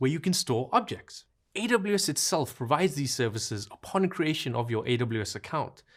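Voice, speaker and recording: With a South African accent, a man talks at a fairly quick pace, showing vocal fry and very wide pitch swings. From South Africa, Cape Town. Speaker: cloud solutions architect, course instructor. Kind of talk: online course lecture. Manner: casual and playful.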